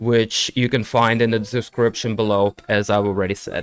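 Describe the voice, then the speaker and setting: The speaker has a Russian accent and a moderate pace. The sound is dry and close with no echo, on a very clean recording with a silent background. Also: man. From Ukraine. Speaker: streamer and MMA commentator. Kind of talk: live commentary. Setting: live stream. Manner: casual.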